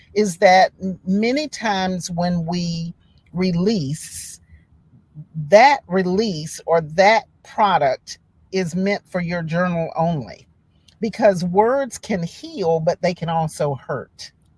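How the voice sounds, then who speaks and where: Speaking very slowly at a medium pitch, a woman sounds somewhat breathy, with ordinary pitch variation and a dry, close sound with no echo. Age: 60s. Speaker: writer and poet. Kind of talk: interview conversation.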